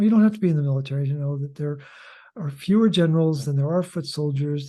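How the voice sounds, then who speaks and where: Over a quiet background, a man speaks very fast in a fairly high, dark, mellow voice. It's somewhat breathy, with ordinary pitch variation. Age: 70s. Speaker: author and health educator. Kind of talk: interview.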